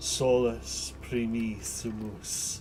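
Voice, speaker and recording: A wheezy put-on character voice from a man, medium in pitch, with audible echo. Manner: manic.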